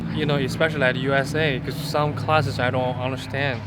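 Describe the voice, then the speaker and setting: Noticeable background noise and audible room echo surround a man speaking fairly quickly at a medium pitch with a Chinese accent. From northwest China. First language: Chinese (Tianshui dialect). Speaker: international student, drummer. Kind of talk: interview answers. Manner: halting.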